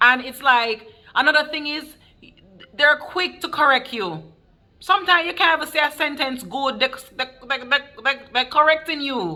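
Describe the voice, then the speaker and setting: Using a raised, projected voice with a bright, sharp tone, a woman speaks at a high pitch and a moderate pace, with ordinary pitch variation, big swings in loudness and long, frequent pauses. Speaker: nurse. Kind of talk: casual talk to camera.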